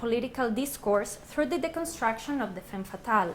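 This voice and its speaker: A woman speaks at a fairly high pitch, with audible room echo around her. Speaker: research associate and academic speaker. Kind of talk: lecture. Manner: loud.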